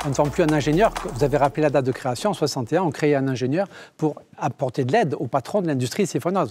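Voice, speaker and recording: Speaking with a Basque-Béarnais accent, a man talks at a very fast pace in a fairly high pitch. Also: ordinary pitch variation. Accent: Basque-Béarnais French, lasting. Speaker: engineering school director. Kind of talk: TV interview.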